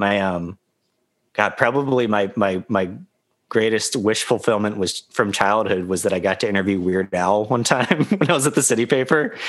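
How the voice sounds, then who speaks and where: An ordinary speaking voice, this man's fairly low pitch comes with an American accent, a moderate pace and very even loudness. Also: ordinary pitch variation. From US South, South Carolina. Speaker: musician and writer. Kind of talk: casual chat.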